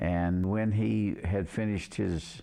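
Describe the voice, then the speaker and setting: At a very slow pace, a man speaks in a dark, mellow tone with a very deep, low pitch. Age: 80s+. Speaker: church member. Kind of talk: interview testimony.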